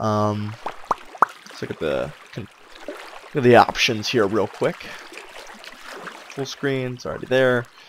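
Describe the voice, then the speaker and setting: The speaker goes at a fairly slow pace with long, frequent pauses, and the loudness swings widely. Background noise is noticeable throughout. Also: man. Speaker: gaming video creator. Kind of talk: casual gameplay commentary. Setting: home microphone.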